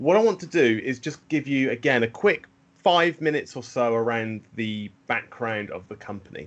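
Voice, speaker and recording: With a British accent and a medium pitch, a man talks at a moderate pace with lively intonation and big swings in loudness over a quiet background. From UK. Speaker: systems engineer presenting a product. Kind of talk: webinar product presentation. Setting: online webinar call. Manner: frequent fillers and repetitions.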